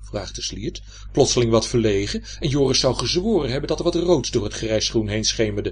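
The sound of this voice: The reading comes in an unforced reading voice, its intonation lively.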